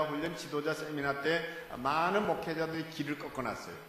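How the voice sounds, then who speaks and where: Over noticeable background noise and audible room echo, a man with a fairly high pitch speaks at a fairly slow pace. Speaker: guest preacher. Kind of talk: sermon. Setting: church. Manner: animated.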